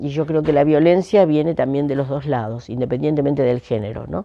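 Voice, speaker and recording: Her very deep, low pitch comes with ordinary pitch variation as this woman speaks. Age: 70s. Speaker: economic historian. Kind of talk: interview.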